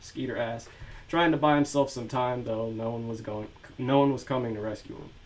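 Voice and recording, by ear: The text is read aloud in a natural voice.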